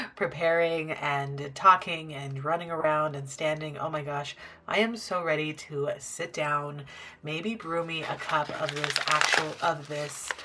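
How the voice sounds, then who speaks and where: Against noticeable background noise, a woman with a very deep, low pitch speaks at a fairly slow pace with fairly even intonation. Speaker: crochet vlogger. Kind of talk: casual vlog narration. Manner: relaxed.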